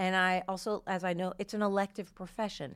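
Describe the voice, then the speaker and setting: Speaking at a fairly quick pace, a woman with a medium pitch and an American accent uses a normal speaking voice on a very clean recording with a silent background. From New Jersey. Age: 50s. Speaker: comedian. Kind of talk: casual chat. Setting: studio.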